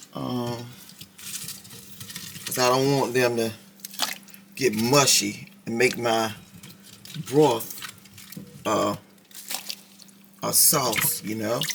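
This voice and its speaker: With audible room echo and noticeable background noise, the speech comes at a very slow pace broken by long, frequent pauses. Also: woman, very deep, low pitch for a woman. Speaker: cooking vlogger. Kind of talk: casual cooking tutorial. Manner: chatty, animated.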